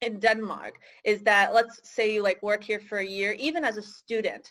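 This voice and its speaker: In a very clean recording with a silent background, a woman speaks at a fairly high pitch with a Michigan accent. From US, Michigan. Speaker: career advisor for international students. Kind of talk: interview. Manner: hesitant, many fillers.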